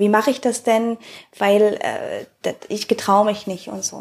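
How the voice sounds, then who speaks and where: At a very slow pace, a woman with a fairly high pitch speaks in a very clean recording with a silent background. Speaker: podcast host. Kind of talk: casual interview.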